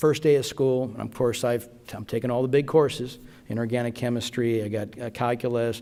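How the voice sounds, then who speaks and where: A man with a Spanish accent talks at a moderate pace and medium pitch. His tone is dark and mellow, and his intonation is monotone and flat. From Las Vegas, Nevada. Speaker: physician and award recipient. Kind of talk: award acceptance speech.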